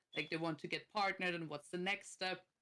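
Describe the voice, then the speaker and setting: A bright, sharp tone carries this voice with an Austrian accent. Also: woman. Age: 30s. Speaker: streamer and content creator. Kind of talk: casual chat.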